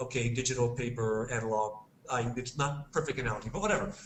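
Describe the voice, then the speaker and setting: Amid audible room echo and noticeable background noise, a man with an American accent speaks at a medium pitch with ordinary pitch variation. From United States. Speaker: games industry guest expert. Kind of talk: podcast discussion.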